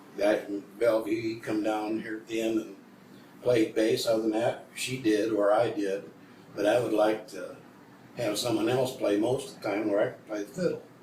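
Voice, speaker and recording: With an American accent, a man speaks at a moderate pace and a medium pitch. His intonation is fairly even, and audible room echo carries the sound. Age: old. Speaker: old-time country musician. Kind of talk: casual interview. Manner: halting.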